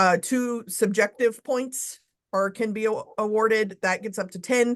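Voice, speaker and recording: In a plain, everyday voice, a woman talks at a fairly slow pace, her fairly high pitch keeping a fairly even intonation. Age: 40s. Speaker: search committee chair. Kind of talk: business meeting. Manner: casual.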